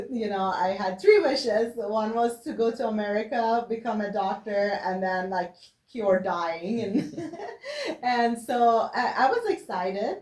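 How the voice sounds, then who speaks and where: Against noticeable background noise, a woman with a fairly high pitch speaks at a fairly slow pace with ordinary pitch variation. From Iran. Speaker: physician. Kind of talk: interview answer.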